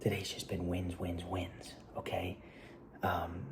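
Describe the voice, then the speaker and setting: Whispering, a man is heard with audible room echo and noticeable background noise. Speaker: filmmaker vlogger. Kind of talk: casual vlog monologue. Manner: quiet; fast, halting.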